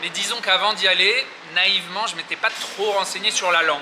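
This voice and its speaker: Noticeable background noise sits behind a man whose high voice shows ordinary pitch variation. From Paris, France. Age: 30s. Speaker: expat, trader. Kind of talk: interview answer. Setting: outdoors. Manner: hesitant, casual.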